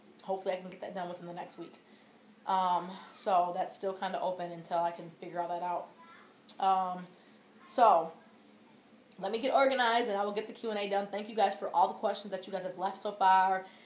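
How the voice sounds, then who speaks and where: A woman at a medium pitch speaks at a fairly quick pace with fairly even intonation but big swings in loudness, leaving long, frequent pauses amid audible room echo. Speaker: vlogger. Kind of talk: casual vlog update. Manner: fast.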